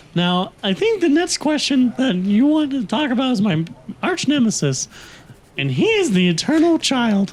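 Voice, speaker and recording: A put-on character voice, deadpan in tone yet with very wide pitch swings. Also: man. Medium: audio drama. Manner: deadpan, earnest.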